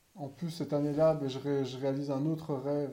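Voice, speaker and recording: Amid audible room echo, a man with a fairly high pitch speaks in a dark, mellow tone with monotone, flat intonation. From Belgium. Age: 30s. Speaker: podcaster. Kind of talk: casual monologue. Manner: halting.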